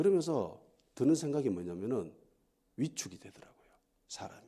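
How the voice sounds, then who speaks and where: The tone is dark and mellow, with vocal fry. Pitch swings very widely. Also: man, medium pitch for a man, moderate pace. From Gyeongsang region, South Korea. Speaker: pastor. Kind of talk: sermon. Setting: church.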